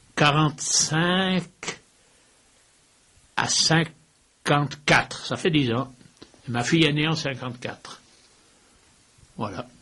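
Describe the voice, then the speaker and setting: Very slow and broken by long, frequent pauses, a man's voice has a fairly high pitch and a bright, sharp tone. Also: ordinary pitch variation. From Switzerland, Valais (Saint-Maurice). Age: 80s+. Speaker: former football club president. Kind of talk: interview.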